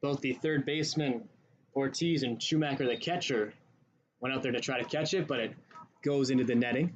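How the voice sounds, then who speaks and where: A man with a normal speaking voice, fairly high pitch for a man, ordinary pitch variation and a moderate pace. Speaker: baseball play-by-play announcer. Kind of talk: live sports play-by-play commentary.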